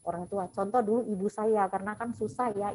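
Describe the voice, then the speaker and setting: Music plays in the background as the speaker goes at a fairly quick pace. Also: woman. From Bali, Indonesia. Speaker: hypnotherapist. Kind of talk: webinar talk.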